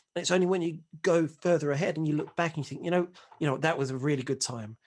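Against a quiet background, a man uses an ordinary speaking voice with fairly high pitch and ordinary pitch variation. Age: 40s. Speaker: single dad on dating podcast. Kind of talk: casual chat.

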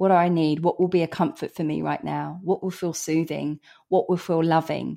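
A woman speaks with a southern English accent. She keeps a moderate pace against a quiet background. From England, Hertfordshire. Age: 40s. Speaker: anti-racism author and speaker. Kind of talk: podcast interview.

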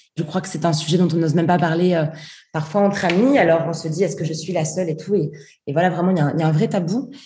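In a room with audible echo, a woman with a fairly low pitch talks very fast in a somewhat breathy voice. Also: ordinary pitch variation. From southern France. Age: 20s. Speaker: feminist activist and author. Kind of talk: interview.

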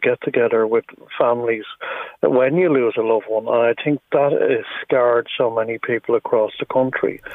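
At a moderate pace, a man speaks with an Irish accent. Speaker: bereaved campaigner. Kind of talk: radio phone interview. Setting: phone call.

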